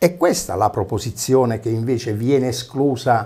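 This man's tone is dark and mellow, and he talks at a moderate pace. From Basilicata, Italy. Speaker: opposition town councillor, former regional councillor. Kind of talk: TV interview. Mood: indignant, polemical. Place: studio. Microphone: lapel.

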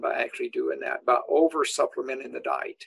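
Over light background noise, a man speaks at a fairly quick pace. He talks with a Southern US accent. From Tennessee, US South. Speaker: animal nutrition professor; guest. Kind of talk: interview. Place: office. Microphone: webcam.

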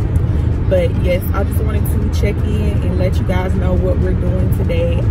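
Music plays in the background as a woman speaks at a fairly slow pace. Her pitch varies in an ordinary way. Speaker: vlogger. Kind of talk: casual vlog chat. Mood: cheerful, excited. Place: car. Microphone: phone near.

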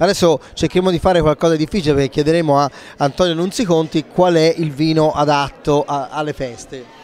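Fairly quick and fairly high-pitched, a man talks with an unremarkable speaking voice. His intonation stays fairly even. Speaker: wine show host. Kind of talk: casual interview chat.

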